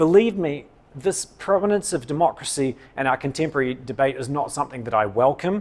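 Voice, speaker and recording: A man with a New Zealand accent, fairly high-pitched, fairly quick, with lively intonation. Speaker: political science professor. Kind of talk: public lecture.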